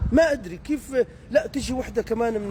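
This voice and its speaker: Over noticeable background noise, a man talks in an animated tone with lively intonation. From Deir ez-Zor, eastern Syria. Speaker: social media commentator. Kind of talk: comedic rant monologue. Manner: animated, mimicking regional dialects.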